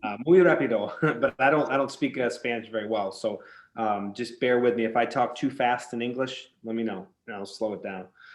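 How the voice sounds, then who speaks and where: A man speaks at a fairly quick pace in a medium-pitched voice with ordinary pitch variation. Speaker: psychic medium. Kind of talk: consultation with a client. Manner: fast.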